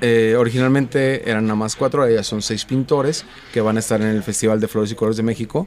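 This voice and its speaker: Over noticeable background noise, a man talks at a fairly quick pace with medium pitch and fairly even intonation. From Jalisco, Mexico. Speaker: festival organizer. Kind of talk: casual chat.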